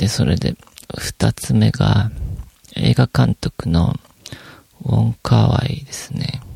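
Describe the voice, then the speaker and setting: A man with a very deep, low pitch talks very slowly in a relaxed tone, with long, frequent pauses. His pitch swings very widely, and the sound is dry and close with no echo. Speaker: podcast host. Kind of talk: solo casual monologue. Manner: relaxed, many fillers.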